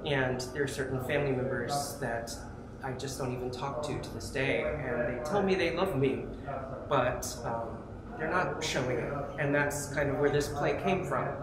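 Loud background noise and audible room echo accompany a man talking at a moderate pace. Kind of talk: interview answer. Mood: earnest, reflective. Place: hall. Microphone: lapel.

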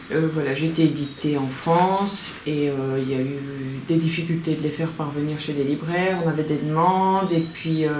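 With a very deep, low pitch, a woman talks at a moderate pace with hardly any pauses and fairly even intonation, amid audible room echo and light background noise. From Belgium. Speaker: crime novelist and small publisher. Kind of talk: interview. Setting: at her home. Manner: halting. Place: home room. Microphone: camera far.

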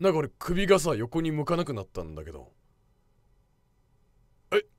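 A man talks at a moderate pace with big swings in loudness. The sound is dry with no echo, and the background is quiet. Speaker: VTuber streamer. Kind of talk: casual talk to camera.

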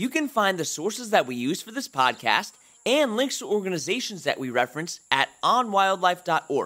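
A man's raised, projected voice, high in pitch, bright and sharp in tone, with very wide pitch swings at a moderate pace. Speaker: podcast host. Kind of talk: interview.

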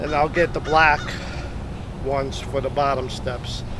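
Moderately paced speech amid noticeable background noise. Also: man, dry sound with no echo. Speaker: hunting gear reviewer. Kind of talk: product demo tutorial. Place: forest.

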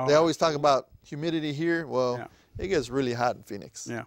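The background is quiet and the sound is dry with no echo. His pitch varies in an ordinary way. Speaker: talk show host. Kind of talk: TV panel discussion. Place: studio. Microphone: lapel.

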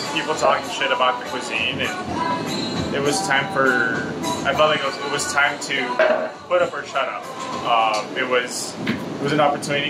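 Music plays in the background. A man speaks at a moderate pace. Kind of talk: interview answer. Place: kitchen. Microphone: phone near.

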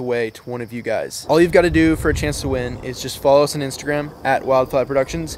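Very fast speech with ordinary pitch variation, a dry sound with no echo and light background noise. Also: man. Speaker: fishing video host. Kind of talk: sponsor announcement to camera. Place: garden. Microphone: phone near.

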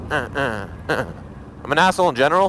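A man's animated voice, dry with no echo, over light background noise. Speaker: motovlogger. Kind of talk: angry rant, profane and venting, about being cut off by drivers. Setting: outdoors, recording a vlog while riding or stopped. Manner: loud, agitated, fast, swearing heavily; casual, rambling, animated. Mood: relaxed, joking, profane. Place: motorbike. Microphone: helmet.

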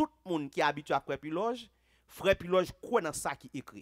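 There is a quiet background as a man with a Haitian accent speaks at a moderate pace. His pitch swings very widely. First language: Haitian Creole (speaking French). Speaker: pastor. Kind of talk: sermon. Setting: church. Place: church. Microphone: headset.

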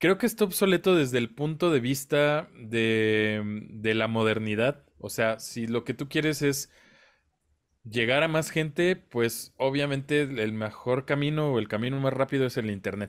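A man's plain, everyday voice, medium in pitch with ordinary pitch variation, at a fairly slow pace over a quiet background. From Mexico. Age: 30s. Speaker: independent musician, podcast co-host; podcast co-host. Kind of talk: casual chat. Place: home room.

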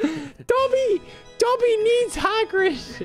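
A woman puts on a character voice at an extremely high pitch. Clear music plays in the background. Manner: pleading.

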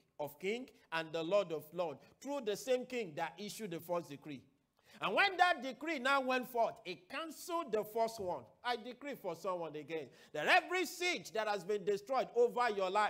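A man's bright, sharp voice at a moderate pace with very wide pitch swings over a quiet background. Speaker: preacher. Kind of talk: sermon. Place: studio. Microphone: lapel.

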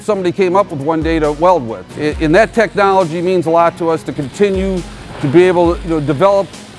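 Here a man speaks very fast at a high pitch, with ordinary pitch variation. Faint music plays in the background. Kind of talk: interview answer. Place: factory. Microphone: lapel.

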